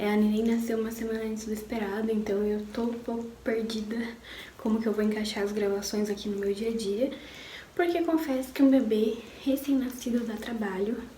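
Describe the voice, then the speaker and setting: A woman talks at a moderate pace in a fairly high pitch, keeping her intonation fairly even. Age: 20s. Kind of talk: personal story told to camera. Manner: casual, emotional.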